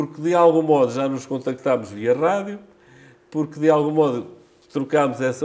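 A man's fairly high, dark and mellow voice with ordinary pitch variation at a moderate pace. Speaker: amateur radio association president. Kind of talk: interview. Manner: halting.

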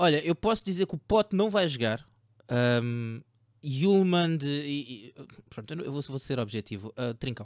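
A man with an unremarkable speaking voice talks fairly slowly at a fairly high pitch, with lively intonation. The sound is dry with no echo over a quiet background. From Portugal. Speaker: fantasy football podcast host. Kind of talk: casual chat about fantasy football tips. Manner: joking, informal. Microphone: video call.

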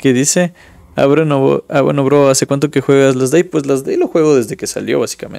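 At a fairly quick pace, a man is speaking. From Ecuador. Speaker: gaming streamer. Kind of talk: gameplay commentary; casual gameplay commentary. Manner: casual, thinking aloud. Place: home room.

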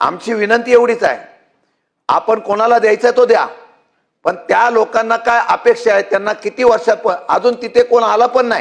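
A man speaks at an extremely high pitch. His intonation is monotone and flat. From Mumbai, Maharashtra (Mazgaon). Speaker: state legislator. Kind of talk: legislative floor speech. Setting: legislative assembly chamber.

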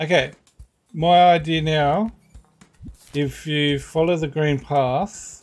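Spoken at a very slow pace with an Australian accent, the voice leaves long, frequent pauses. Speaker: gaming streamer. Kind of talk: casual chat.

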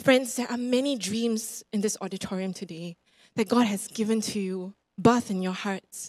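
A woman with a Singaporean accent speaks at a moderate pace over a quiet background. Her voice is somewhat breathy and fairly high. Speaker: preacher. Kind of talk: sermon. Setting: church. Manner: animated. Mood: encouraging, earnest. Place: church. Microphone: handheld.

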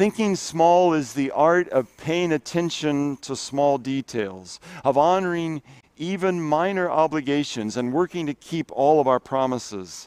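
The voice comes at a fairly slow pace, in a dry sound with no echo. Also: man. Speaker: pastor. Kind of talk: sermon. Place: garden.

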